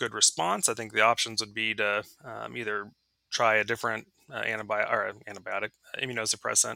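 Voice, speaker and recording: In a very clean recording with a silent background and a dry, close sound with no echo, a man speaks fairly quickly in a fairly low, bright, sharp voice with vocal fry and monotone, flat intonation. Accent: American. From Texas, Dallas. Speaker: veterinary internal medicine professor. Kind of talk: interview. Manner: hesitant, many fillers.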